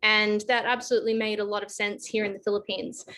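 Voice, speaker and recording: A woman's fairly high-pitched, bright, sharp voice at a fairly quick pace. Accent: Australian. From Australia. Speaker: advisory firm director, panelist. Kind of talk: online panel discussion.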